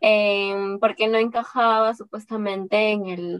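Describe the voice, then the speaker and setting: The recording of a woman is dry and close with no echo, her medium-pitched voice moving at a fairly slow pace with fairly even intonation. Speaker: entrepreneur and engineer, podcaster. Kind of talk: interview.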